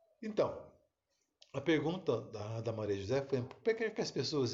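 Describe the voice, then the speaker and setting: A somewhat breathy man speaks at a fairly slow pace. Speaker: therapist or self-help speaker. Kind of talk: live stream talk. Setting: live video stream.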